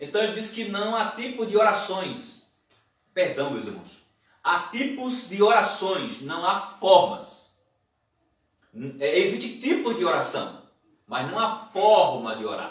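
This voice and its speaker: Loud and high-pitched, a man speaks at a very slow pace with lively intonation and long, frequent pauses. Audible room echo surrounds his voice. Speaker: pastor. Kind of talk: sermon.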